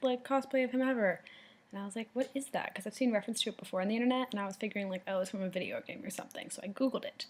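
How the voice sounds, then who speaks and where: A woman talks at a very fast pace with a fairly high pitch and ordinary pitch variation. Her voice is quiet. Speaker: video blogger. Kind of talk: casual vlog talk to a friend. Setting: indoors in a house while babysitting. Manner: quiet, hushed.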